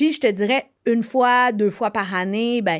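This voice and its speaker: The pace is very slow, with ordinary pitch variation. The recording is very clean, with a silent background. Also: woman. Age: 40s. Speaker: TV host, author and actress. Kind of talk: interview. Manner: halting.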